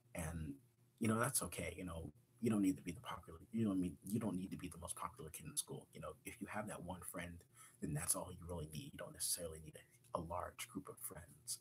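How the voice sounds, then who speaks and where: A somewhat breathy voice talks at a very fast pace. Its pitch varies in an ordinary way. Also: man, very deep, low pitch for a man. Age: 20s. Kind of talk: live-stream personal monologue. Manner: halting, many repetitions.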